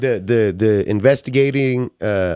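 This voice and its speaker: An unremarkable speaking voice from a man at medium pitch, with fairly even intonation, dry, close sound with no echo and a very clean recording with a silent background. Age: 30s. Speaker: returning podcast guest. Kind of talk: casual chat.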